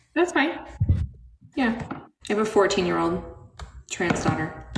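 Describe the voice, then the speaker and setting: In a space with audible room echo, a woman talks at a fairly slow pace and a medium pitch, her voice making very wide pitch swings. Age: 40s. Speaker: livestream host. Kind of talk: casual chat.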